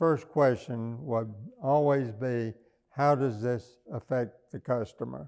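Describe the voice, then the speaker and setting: A man at a very slow pace and medium pitch, with a Southern US accent. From US South, small-town Arkansas. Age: 80s+. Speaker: businessman and philanthropist. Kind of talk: oral history interview. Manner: halting, many fillers.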